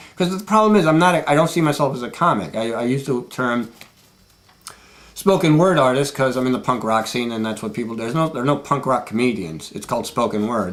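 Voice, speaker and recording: Noticeable background noise surrounds a man speaking at a medium pitch. He talks at a very fast pace, his pitch swinging very widely. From Puerto Rican. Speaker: spoken word artist and radio DJ. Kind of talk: casual documentary interview talk.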